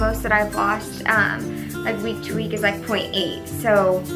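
Clear music sounds behind the voice. A woman talks at a fairly slow pace. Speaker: fitness vlogger. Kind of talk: casual vlog chat. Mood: cheerful, upbeat. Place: home room. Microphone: camera far.

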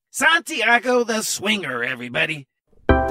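A man's raised, projected voice, high in pitch, at a moderate pace over loud music in the background. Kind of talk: comic variety show hosting. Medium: comedy sketch. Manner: bubbly, enthusiastic.

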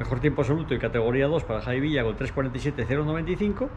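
This man's pitch moves in an ordinary way. Noticeable noise can be heard in the background. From Spain. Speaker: motorsport commentator; motorsport reporter. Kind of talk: on-location reporting. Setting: outdoors.

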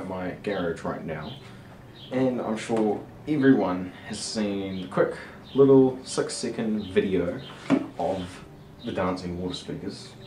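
Speaking fairly slowly with long, frequent pauses, a man with a fairly low pitch is heard over noticeable background noise. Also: ordinary pitch variation. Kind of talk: casual vlog chat. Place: garage. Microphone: camera far.

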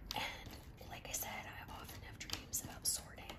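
The voice is a whisper, delivered at a fairly slow pace. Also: woman. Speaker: ASMR creator. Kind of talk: ASMR talk while doing a jigsaw puzzle. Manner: whispered. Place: home room. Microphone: phone near.

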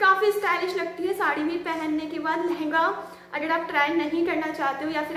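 Her extremely high pitch holds fairly even intonation as the woman speaks at a moderate pace.

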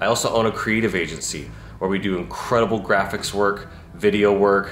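There is light background noise and audible room echo as a man with a fairly low pitch speaks at a moderate pace, his pitch variation ordinary. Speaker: entrepreneur vlogger. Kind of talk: casual vlog chat. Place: home room. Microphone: phone near.

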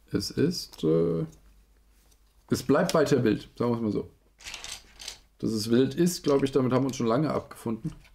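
Over light background noise, a man with vocal fry and a dark, mellow tone speaks at a moderate pace with lively intonation and long, frequent pauses. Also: medium pitch for a man. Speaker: toy review streamer. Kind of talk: live stream building commentary. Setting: live stream. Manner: animated. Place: home room.

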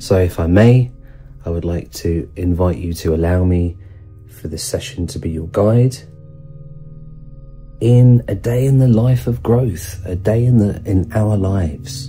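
Faint music plays behind a man with a very deep, low pitch. He talks at a fairly slow pace with long, frequent pauses. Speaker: sound healing teacher. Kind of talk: guided meditation introduction.

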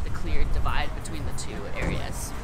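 Background music accompanies a woman as she talks. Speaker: interviewee. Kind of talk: interview answer. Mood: earnest, slightly concerned. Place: street.

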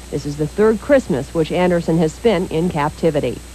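Over noticeable background noise, a woman with a fairly low pitch talks at a moderate pace with lively intonation. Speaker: news anchor. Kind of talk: 1980s TV news reading, scripted broadcast. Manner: formal; brisk, even, authoritative newsreader delivery.

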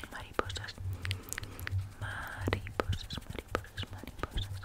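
A woman whispers, soft-spoken and very slow in her delivery. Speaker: ASMR creator. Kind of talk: soft whispered ASMR talk. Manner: soft close-mic ASMR whisper. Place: home room. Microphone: studio mic.

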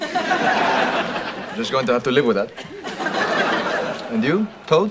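Over loud background noise, a man talks at a very slow pace. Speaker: sitcom character. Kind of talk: scripted comedy dialogue. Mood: mock-wise, teasing. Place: office.

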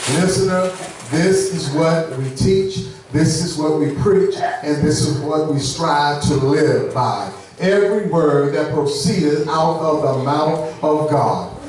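Strong room echo and light background noise surround a man speaking at a very slow pace. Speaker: preacher. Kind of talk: sermon. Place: church.

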